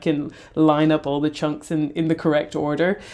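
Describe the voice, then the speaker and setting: A woman with an Irish accent and a fairly low pitch is heard on a very clean recording with a silent background. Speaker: podcast host. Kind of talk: casual chat.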